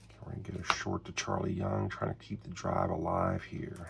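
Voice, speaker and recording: This man speaks quietly at a moderate pace. Noticeable background noise sits behind him. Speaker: tabletop sports game hobbyist. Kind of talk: solo tabletop game play commentary. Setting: home, early morning while others sleep. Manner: easy-going.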